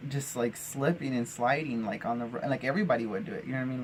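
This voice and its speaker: A man speaks with an American accent at a very fast pace. Noticeable background noise runs underneath. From Arizona, US Southwest. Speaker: vlogger. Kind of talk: personal storytelling monologue. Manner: casual with many fillers and restarts.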